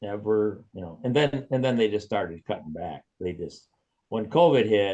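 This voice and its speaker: Pitched fairly low, a man speaks at a moderate pace with a dark, mellow tone and lively intonation. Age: 70s. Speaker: retired track and cross-country meet organizer. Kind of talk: interview. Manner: halting, repetitive restarts.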